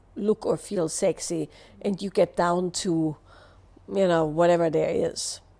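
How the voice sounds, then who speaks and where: A woman with an Austrian accent, dark and mellow in tone, at a moderate pace. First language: German. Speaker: somatic movement teacher. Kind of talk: live Q&A answer.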